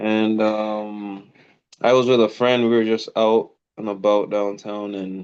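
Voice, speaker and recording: At a very slow pace, a man with a fairly low pitch talks in a monotone, flat intonation. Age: 40s. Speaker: married couple guest. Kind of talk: casual interview chat.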